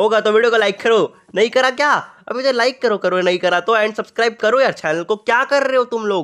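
Moderately paced male speech, its pitch varying in an ordinary way. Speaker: gaming YouTuber. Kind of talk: gameplay commentary. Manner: animated.

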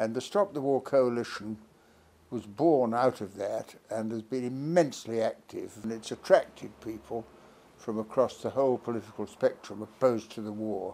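A man's medium-pitched voice in a British accent, dark and mellow in tone, with big swings in loudness. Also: ordinary pitch variation, moderate pace. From Britain. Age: 80s+. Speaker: politician and peace campaigner. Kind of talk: political appeal to camera. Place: home room. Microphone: phone near.

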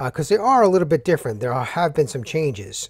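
A somewhat breathy man is heard in a dry sound with no echo. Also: quiet background. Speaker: builder reviewing windows. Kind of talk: tutorial. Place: workshop.

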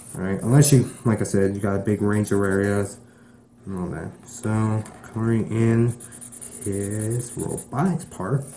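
This man speaks with an American accent at a fairly low pitch and a fairly slow pace. His tone is dark and mellow, with ordinary pitch variation. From Texas. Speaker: YouTube drawing tutorial maker. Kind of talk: drawing tutorial. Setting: at home. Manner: casual, filler-heavy.

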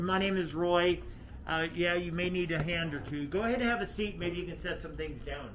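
Fairly quick delivery with fairly even intonation over noticeable background noise. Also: man, high pitch for a man. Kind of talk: instructions to a customer. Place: street. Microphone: phone near.

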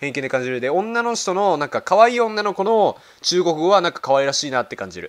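A man's high-pitched, animated voice at a fairly quick pace, with lively intonation and big swings in loudness. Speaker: YouTuber. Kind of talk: reaction video commentary.

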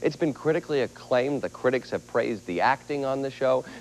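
Light background noise sits behind a man speaking. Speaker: TV talk show host. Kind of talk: talk show hosting. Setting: studio with audience. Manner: animated. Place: studio. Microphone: handheld.

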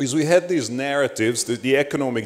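The speaker talks with a Hungarian accent and lively intonation. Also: man. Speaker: panelist, academic; panelist. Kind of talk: conference panel talk. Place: hall. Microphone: handheld.

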